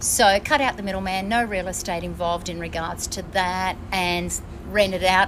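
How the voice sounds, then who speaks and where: With an Australian accent, a woman talks at a moderate pace and medium pitch against noticeable background noise. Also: fairly even intonation. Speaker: traveller. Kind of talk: casual chat. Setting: on board a ship.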